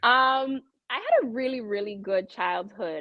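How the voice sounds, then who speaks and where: With lively intonation, a woman talks at a fairly slow tempo. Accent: slight Jamaican. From Toronto, Canada, Jamaican family. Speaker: real estate professional. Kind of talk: podcast interview. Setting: live podcast.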